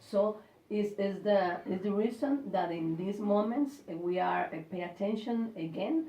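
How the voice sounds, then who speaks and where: Over noticeable background noise, a woman with a Spanish accent speaks at a moderate pace with a medium pitch and ordinary pitch variation. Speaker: university staff member. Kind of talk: English speaking practice interview. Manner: halting.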